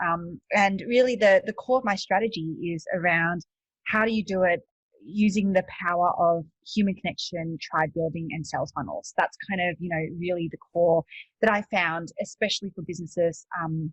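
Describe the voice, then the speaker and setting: A woman's somewhat breathy, fairly low voice with an Australian accent, ordinary pitch variation, and a dry, close sound with no echo. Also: moderate pace. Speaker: e-commerce coach and entrepreneur. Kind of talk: podcast interview. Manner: hesitant, many fillers.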